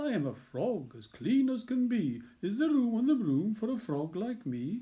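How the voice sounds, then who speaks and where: Speaking at a moderate pace, a man uses a put-on character voice. His pitch is high. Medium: read story.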